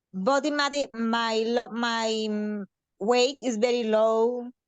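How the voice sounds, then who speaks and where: In a monotone, flat intonation, a woman speaks with a Mexican accent. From Mexico. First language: Spanish. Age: 30s. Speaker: participant with anorexia. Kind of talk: personal testimony in a Q&A. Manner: halting with many fillers.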